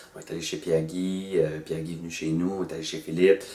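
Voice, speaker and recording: A man with a very deep, low pitch speaks in a monotone, flat intonation. He keeps a fairly quick pace amid noticeable background noise. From northern New Brunswick, Acadia. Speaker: actor and storyteller. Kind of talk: promotional interview. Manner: hesitant, many fillers; casual, colloquial.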